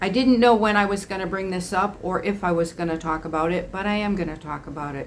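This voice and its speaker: A woman's medium-pitched voice at a fairly quick pace, with ordinary pitch variation and audible room echo. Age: 60s. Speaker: estranged parent vlogger. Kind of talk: personal vlog monologue. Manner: conversational with frequent fillers and restarts.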